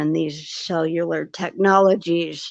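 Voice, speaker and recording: Her voice sits fairly low and stays flat and monotone. The woman speaks at a fairly slow pace. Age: 80s+. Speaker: retired nurse. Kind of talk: casual chat. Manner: halting.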